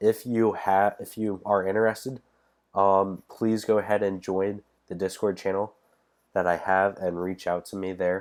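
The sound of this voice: This man's low-pitched voice is nasal and slightly mellow, moving little in pitch as he talks at a fairly slow pace.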